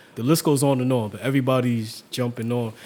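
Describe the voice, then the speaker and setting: A man with a New York accent at a moderate pace, over noticeable background noise. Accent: New York (Bronx). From New York City, Harlem and Hunts Point, Bronx. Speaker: photographer and youth photography teacher. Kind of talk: casual interview.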